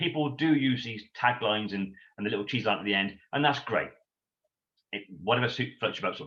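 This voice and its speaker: Loud and animated, a man with an English accent talks at a fairly quick pace in a bright, sharp tone at medium pitch. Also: ordinary pitch variation. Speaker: sales trainer. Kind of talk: interview Q&A.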